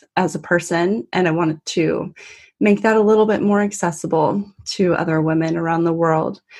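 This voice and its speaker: A woman with a Californian accent speaks at a moderate pace. Her pitch varies in an ordinary way over a quiet background. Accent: Californian American. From US, Northern California. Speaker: travel community founder. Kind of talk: podcast interview.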